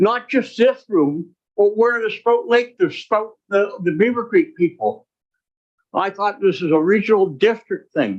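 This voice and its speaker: A man speaks with a high pitch and lively intonation. His pace is fairly slow. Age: 70s. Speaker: local resident speaking at hearing. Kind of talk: angry public comment.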